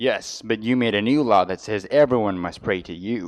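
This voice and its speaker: A man growls in a put-on character voice at medium pitch. His pace is moderate, and the background is quiet. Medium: stage play.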